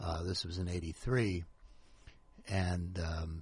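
A man speaks in a very deep, low, somewhat breathy voice with monotone, flat intonation over a quiet background. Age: 60s. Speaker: author. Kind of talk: casual chat. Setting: radio studio.

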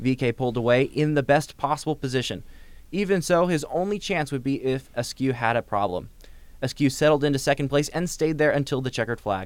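Fairly high-pitched for a man and moving at a fairly quick pace, this is a plain, everyday voice with ordinary pitch variation. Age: young. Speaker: college radio host. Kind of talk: radio interview. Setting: radio studio.

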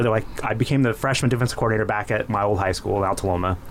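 Over noticeable background noise, a man with an American accent talks with fairly even intonation. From Inland Empire, Southern California. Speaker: former high school football player and coach. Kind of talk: casual chat. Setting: studio.

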